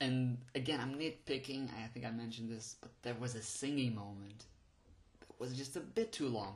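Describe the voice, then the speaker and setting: A man at a medium pitch talks at a moderate pace, somewhat breathy, with fairly even intonation and big swings in loudness. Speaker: podcast host, movie reviewer. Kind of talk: unscripted solo film review. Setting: home recording on phone and voice recorder. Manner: halting, with frequent fillers and restarts.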